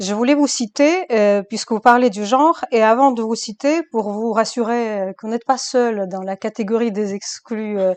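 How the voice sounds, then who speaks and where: Dry and close with no echo, a woman with a non-native accent speaks at a fairly high pitch and a moderate pace, with ordinary pitch variation. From Eastern Europe (former communist country). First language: non-French language (speaking French). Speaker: interview host, academic. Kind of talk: interview.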